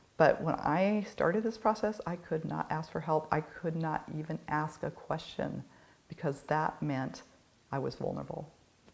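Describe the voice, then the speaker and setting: Vocal fry colors this woman's speech. Her pitch sits very deep and low. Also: ordinary pitch variation, moderate pace. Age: 60s. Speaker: addiction counselor. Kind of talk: casual chat.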